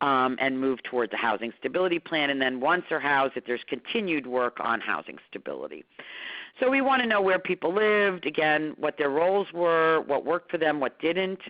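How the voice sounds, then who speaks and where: The pace is fairly quick. Intonation stays lively throughout. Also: woman, very deep, low pitch for a woman. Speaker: homelessness consultant and trainer. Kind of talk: webinar presentation. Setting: online webinar. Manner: fast.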